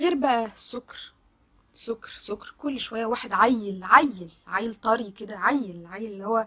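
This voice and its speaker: Animated in tone, a woman speaks at a fairly high pitch with a bright, sharp tone. Her pace is fairly slow, with ordinary pitch variation. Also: quiet background. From Egypt. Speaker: social media commentator. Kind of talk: video monologue. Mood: indignant, shocked. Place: home room. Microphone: phone near.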